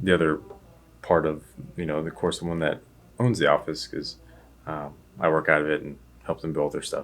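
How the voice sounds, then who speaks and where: At a fairly quick pace, a man talks in a very deep, low pitch with fairly even intonation. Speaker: vlogger and web designer. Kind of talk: casual vlog narration. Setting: office. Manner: quiet.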